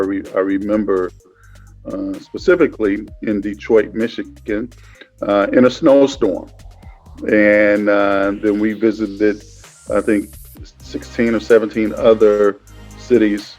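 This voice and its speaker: Music plays in the background as a man with an American accent speaks. His pitch is fairly low and his pace fairly slow. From Cleveland, Ohio. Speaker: media company founder. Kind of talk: interview answer.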